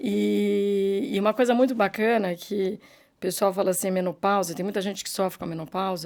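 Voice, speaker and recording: On a very clean recording with a silent background, a woman with a plain, everyday voice speaks at a fairly quick pace, medium in pitch, with fairly even intonation. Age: 60s. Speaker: businesswoman. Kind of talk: interview.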